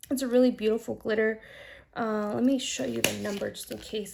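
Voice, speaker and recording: A woman in a normal speaking voice talks at a fairly quick pace with a fairly high pitch. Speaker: nail art creator. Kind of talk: tutorial.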